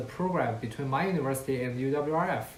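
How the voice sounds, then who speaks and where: In a Chinese accent, a man with a fairly high pitch speaks amid audible room echo. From China, Qingdao. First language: Mandarin Chinese. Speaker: university student. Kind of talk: student presentation talk. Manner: occasional hesitations.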